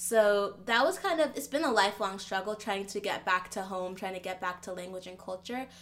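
In a plain, everyday voice, a woman speaks at a fairly quick pace and a medium pitch. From United States, Nigerian immigrant family. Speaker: startup founder. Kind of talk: interview. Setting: video call.

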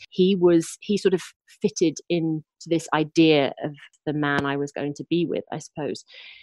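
A woman with an English accent, very deep and low in pitch, at a moderate pace with fairly even intonation and a dry, close sound with no echo. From Lincolnshire, England. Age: 30s. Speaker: novelist. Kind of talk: casual interview.

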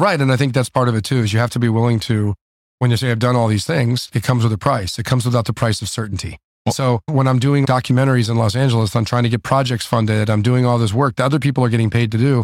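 A man talks very fast at a medium pitch, with fairly even intonation and very even loudness, on a very clean recording with a silent background. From South Florida. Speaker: restaurateur and entrepreneur. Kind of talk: interview. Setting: restaurant.

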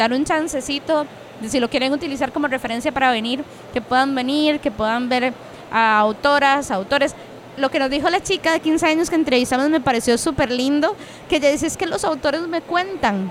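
A woman speaks at high pitch and a moderate pace. Her pitch variation is ordinary and her loudness very even. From Costa Rica, Cartago. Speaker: podcast host. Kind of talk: casual chat and interviews. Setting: book fair venue.

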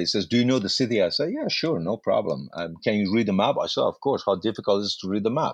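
Over a quiet background, a man with a Persian accent talks at a very fast pace with lively intonation, the sound dry and close with no echo. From Iran. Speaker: actor. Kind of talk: life story interview. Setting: remote call with aircraft noise nearby.

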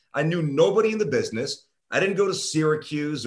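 Here is an ordinary speaking voice at a moderate pace. The pitch varies in an ordinary way. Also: man. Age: 40s. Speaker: sports radio host. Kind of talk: casual interview.

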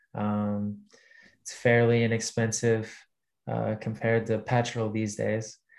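In a Texan accent, a man with a medium pitch talks at a fairly slow pace in a monotone, flat intonation, with long, frequent pauses. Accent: Texan American. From Texas. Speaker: basketball player. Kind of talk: casual interview chat.

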